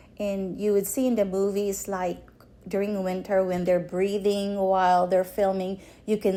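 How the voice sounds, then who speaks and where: In a Filipino accent, a woman speaks fairly slowly at a medium pitch, her dark, mellow tone monotone and flat. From Philippines. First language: Filipino language (Tagalog or regional). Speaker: storyteller sharing life story. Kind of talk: personal testimony interview. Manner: halting, with many fillers.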